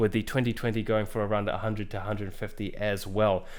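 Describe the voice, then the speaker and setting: Ordinary pitch variation heard through audible room echo. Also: man. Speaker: YouTuber reviewing gear. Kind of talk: product review. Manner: hesitant, many fillers.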